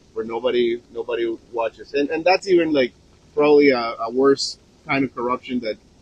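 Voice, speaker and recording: A man speaks with a Spanish accent. His pitch is fairly high and varies in an ordinary way. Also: fairly quick pace. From Colombia. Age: 40s. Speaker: chef and vlogger. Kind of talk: casual talk to live viewers. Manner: halting, many fillers.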